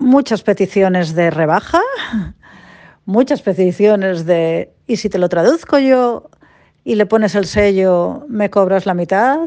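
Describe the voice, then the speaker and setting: At a very slow pace, a woman with a medium-pitched, dark, mellow voice speaks with lively intonation. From Spain, Cantabria. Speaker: translator. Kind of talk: interview.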